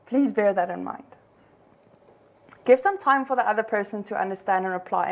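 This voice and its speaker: A woman with a fairly high voice talks at a fairly quick pace, her pitch varying in an ordinary way. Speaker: conference organizer. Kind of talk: conference talk. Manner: fast.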